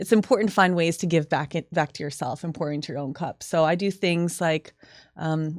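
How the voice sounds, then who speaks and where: An ordinary speaking voice, a woman with a fairly low pitch and ordinary pitch variation talks at a fairly quick pace on a very clean recording with a silent background. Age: 30s. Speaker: fitness trainer. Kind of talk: casual chat.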